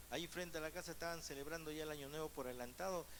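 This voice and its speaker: A man talks with a fairly high pitch. Audible room echo surrounds his voice. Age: 60s. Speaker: pastor. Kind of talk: sermon.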